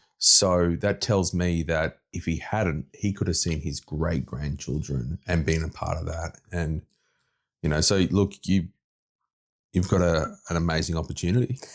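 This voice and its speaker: Over a silent background in a very clean recording, a man with an Australian accent speaks at a moderate pace in a very deep, low voice with vocal fry. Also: ordinary pitch variation. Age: 30s. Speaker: podcast host. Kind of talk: interview conversation.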